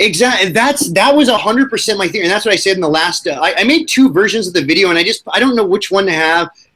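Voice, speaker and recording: Projecting loudly, a man races along at a very fast pace with hardly any pauses. His high voice has lively intonation. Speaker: YouTuber and podcast host. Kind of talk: casual chat. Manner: halting, stumbles over words.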